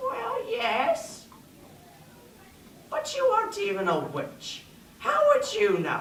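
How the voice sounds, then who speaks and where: In a put-on character voice, a woman speaks at an extremely high pitch and a very slow pace, with long, frequent pauses and a slight echo. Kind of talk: comic overacting. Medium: stage play. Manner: grumbling, self-deprecating.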